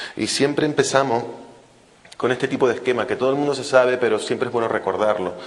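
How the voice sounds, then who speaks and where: Talking at a very fast pace with fairly even intonation, a man comes through over noticeable background noise and audible room echo. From Canary Islands, Spain. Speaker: fetal medicine physician, invited speaker. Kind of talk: lecture.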